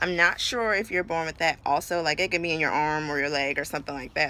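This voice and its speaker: In an American accent, a woman with a fairly low, bright, sharp voice speaks with ordinary pitch variation on a very clean recording with a silent background. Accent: sounds country now. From New York City. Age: 20s. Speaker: vlogger. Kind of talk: personal vlog. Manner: casual, filler-heavy.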